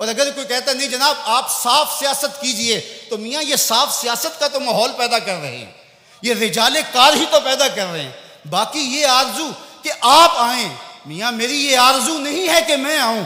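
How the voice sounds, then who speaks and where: Amid noticeable background noise, a man speaks in a raised, projected voice at an extremely high pitch with ordinary pitch variation. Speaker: Islamic preacher. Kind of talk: Islamic sermon (bayan).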